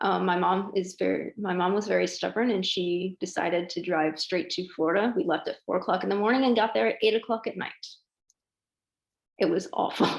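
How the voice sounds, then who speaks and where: This woman's voice carries vocal fry at a medium pitch. She talks at a fairly quick pace with ordinary pitch variation. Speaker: interviewee. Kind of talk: casual interview.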